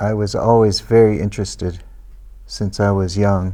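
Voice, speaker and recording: A man talks with a Pacific Northwest accent. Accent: American English, Pacific Northwest. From US Pacific Northwest, Everett, Washington. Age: 60s. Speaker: immigrant interviewed by school pupils. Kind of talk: interview. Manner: slow, simplified English for learners.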